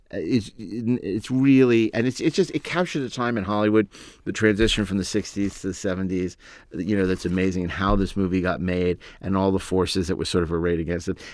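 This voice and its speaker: At a fairly quick pace, a man with a plain, everyday voice speaks at a fairly low pitch with ordinary pitch variation, in a very clean recording with a silent background. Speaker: writer-producer and podcast host. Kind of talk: casual chat.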